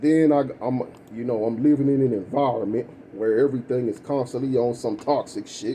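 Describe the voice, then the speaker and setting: Fairly quick delivery with fairly even intonation and a dark, mellow tone. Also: man, medium pitch for a man. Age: 30s. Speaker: vlogger. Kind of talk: personal rant vlog. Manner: casual, profane, rambling delivery.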